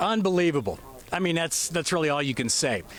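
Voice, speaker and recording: With a normal speaking voice and an American accent, a man talks at a fairly quick pace with lively intonation. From United States. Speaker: TV news reporter. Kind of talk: live field report interviews. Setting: outdoors at launch site.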